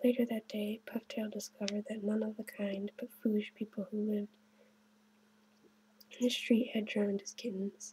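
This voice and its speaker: The speaker is soft-spoken and keeps a moderate pace. Long pauses come often. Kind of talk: children's story reading.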